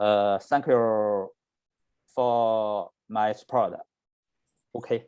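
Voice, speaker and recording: In a Chinese accent, the speaker goes at a very slow pace with long, frequent pauses, monotone, flat intonation and a dark, mellow tone. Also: man, medium pitch for a man. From China, Beijing. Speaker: election candidate. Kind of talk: project presentation in video call. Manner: halting, many hesitations.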